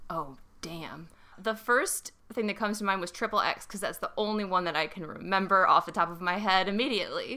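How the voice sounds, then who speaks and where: This woman has a medium pitch and a bright, sharp tone, speaking at a fairly quick pace with an American accent. Her pitch varies in an ordinary way while her loudness swings widely. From Illinois, Chicago area. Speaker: illustrator, guest and host's girlfriend. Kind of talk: casual chat.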